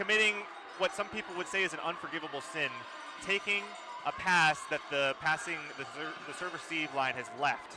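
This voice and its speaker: A man shouts loudly in a high voice, talking at a fairly quick pace with ordinary pitch variation. He takes long, frequent pauses over noticeable background noise. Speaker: color commentator. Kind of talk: live commentary. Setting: gym with loud crowd. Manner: loud, shouting.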